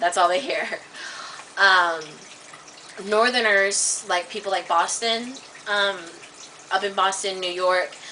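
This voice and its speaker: A woman with an American accent at medium pitch, a fairly slow pace, fairly even intonation and long, frequent pauses, over noticeable background noise. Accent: slight Southern, Kansas drift. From US South and Midwest. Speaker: vlogger. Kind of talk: casual vlog, accent demonstrations. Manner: halting.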